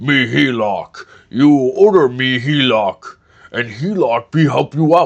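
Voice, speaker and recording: Using a put-on character voice, a man speaks at a medium pitch and a fairly slow pace. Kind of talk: broken, simple speech. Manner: dim-witted.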